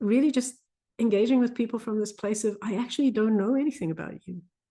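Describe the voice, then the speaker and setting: Against a quiet background, a woman with a South African accent talks at a fairly quick pace in a medium pitch, her tone dark and mellow with ordinary pitch variation. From South Africa, Afrikaans culture. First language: Afrikaans. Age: 50s. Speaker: physician coach. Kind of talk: casual interview conversation.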